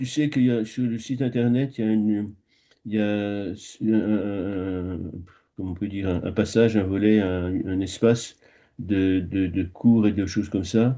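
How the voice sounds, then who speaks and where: A man speaks with fairly low pitch. His pace is fairly slow. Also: fairly even intonation. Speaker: Tibetan Buddhist meditation teacher. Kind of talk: casual chat. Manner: halting.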